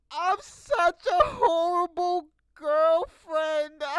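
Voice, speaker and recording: In a put-on character voice, a female-sounding speaker talks at an extremely high pitch and a very slow pace. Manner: imitating.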